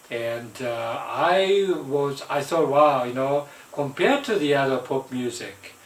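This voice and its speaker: With a Japanese accent, a man speaks at a fairly high pitch and a fairly slow pace with ordinary pitch variation over noticeable background noise. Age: 70s. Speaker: vlogger. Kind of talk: casual monologue. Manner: halting, many fillers.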